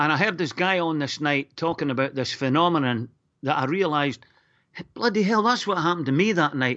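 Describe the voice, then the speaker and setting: A man with a Northern Irish accent speaks at a fairly high pitch. His intonation is lively. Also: fairly quick pace. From Northern Ireland, Lurgan. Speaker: caller. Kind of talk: radio phone-in call. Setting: phone call.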